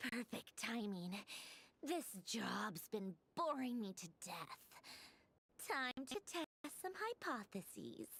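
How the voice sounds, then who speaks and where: A female-sounding put-on character voice comes at a fairly high pitch. It moves at a fairly slow pace, with long, frequent pauses. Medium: machinima. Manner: mocking, languid, condescending.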